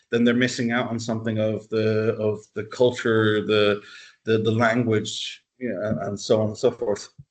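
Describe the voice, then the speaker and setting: Monotone and flat, a man talks at a moderate pace with medium pitch. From Dublin, Ireland. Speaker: university lecturer. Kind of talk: interview answer.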